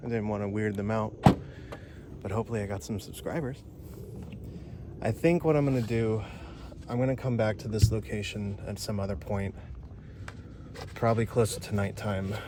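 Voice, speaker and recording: At a fairly quick pace, a man talks with ordinary pitch variation, broken by long, frequent pauses. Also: fairly low pitch for a man. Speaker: paranormal explorer vlogger. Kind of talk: vlog narration. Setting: outdoors in the woods. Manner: speaking quietly.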